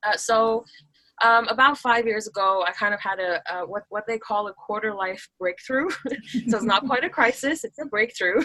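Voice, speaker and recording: In a plain, everyday voice, a woman with an American accent speaks at a moderate pace, her pitch fairly high with ordinary variation. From Taiwan. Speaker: business automation coach. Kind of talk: podcast interview. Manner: many filler words and restarts.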